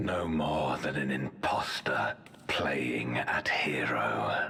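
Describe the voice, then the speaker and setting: Whispering in a put-on character voice, a man speaks at a very slow pace. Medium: machinima. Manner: solemn, formal.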